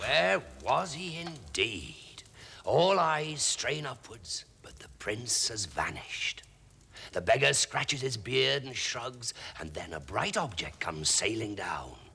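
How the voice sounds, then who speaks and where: A man puts on a raspy character voice at a medium pitch, with very wide pitch swings. His loudness swings a lot, and the pace is fairly slow. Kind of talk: fairy tale storytelling. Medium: puppet.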